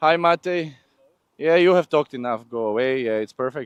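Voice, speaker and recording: A man with a non-native accent, in a dry, close sound with no echo. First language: not English. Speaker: live event presenter. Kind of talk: live walkabout interviews at motorsport event. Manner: animated, playful.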